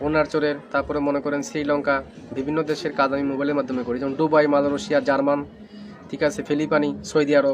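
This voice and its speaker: The intonation stays monotone and flat, with noticeable background noise throughout. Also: man, fairly high pitch for a man. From Northeast India. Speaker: traditional healer. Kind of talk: interview.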